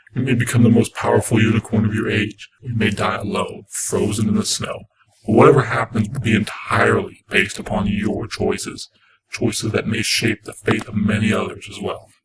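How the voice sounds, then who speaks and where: A man puts on a raspy character voice at a medium pitch. He talks at a fairly quick pace. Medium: read story.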